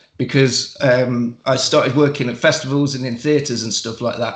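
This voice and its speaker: With audible room echo around him, a man talks at a fairly high pitch with ordinary pitch variation. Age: 40s. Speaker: wrestler and podcaster. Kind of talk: casual chat.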